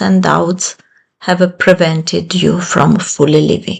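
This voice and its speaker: In an Italian accent, a woman with a medium pitch and a somewhat breathy voice speaks at a very slow pace. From Italy. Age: 50s. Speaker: self-help channel creator. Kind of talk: motivational talk.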